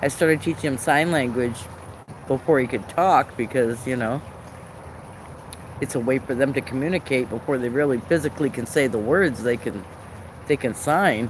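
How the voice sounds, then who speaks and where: Pausing long and often, a man with an American accent and ordinary pitch variation speaks over noticeable background noise. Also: medium pitch for a man, moderate pace. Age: 60s. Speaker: live streamer. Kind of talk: casual chat. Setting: live stream. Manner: halting.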